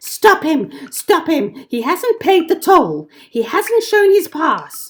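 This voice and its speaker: In a put-on character voice, the speaker sounds angry and shrill, with extremely high pitch and a fairly slow pace. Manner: shrieking, angry.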